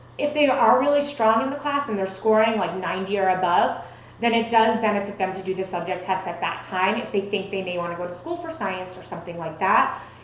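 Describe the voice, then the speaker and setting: A woman speaks at a fairly quick pace with lively intonation. Room echo is audible, and there is noticeable background noise. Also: medium pitch for a woman, hardly any pauses. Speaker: test prep presenter. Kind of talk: presentation to parents and students. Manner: fast.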